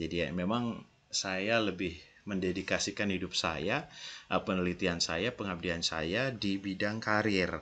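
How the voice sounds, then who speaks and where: This man's very deep, low voice has a bright, sharp tone, ordinary pitch variation and a fairly slow pace. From Indonesia, Yogyakarta; Indonesia. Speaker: university lecturer. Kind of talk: recorded lecture. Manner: casual, conversational. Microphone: headset.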